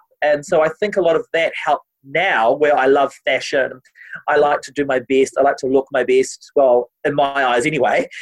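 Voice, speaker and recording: The sound is dry and close with no echo as a man speaks in a New Zealand accent at a fairly high pitch with ordinary pitch variation. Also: moderate pace. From New Zealand, Māori family. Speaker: TV presenter and opera singer. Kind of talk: casual interview. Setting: video call.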